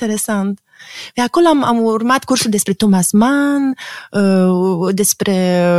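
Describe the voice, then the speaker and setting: A somewhat breathy woman's voice with ordinary pitch variation, a dry, close sound with no echo and a very clean recording with a silent background. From Romania. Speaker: psychoanalyst and art critic. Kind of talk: interview.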